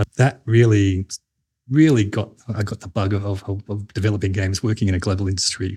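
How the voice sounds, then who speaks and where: The speech is very fast and somewhat breathy, in an Australian accent. Its intonation stays fairly even. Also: man. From Australia, New South Wales. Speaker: games industry executive. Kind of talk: interview.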